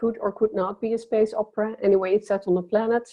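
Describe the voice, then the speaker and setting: A woman speaks with a Dutch accent at a fairly high pitch. Her intonation stays fairly even. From Netherlands. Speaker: science fiction writer. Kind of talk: panel discussion.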